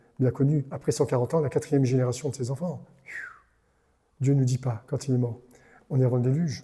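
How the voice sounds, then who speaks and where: A man's medium-pitched, somewhat breathy voice with a dark, mellow tone, a very fast pace, and long, frequent pauses. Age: 70s. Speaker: pastor. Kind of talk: sermon. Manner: animated.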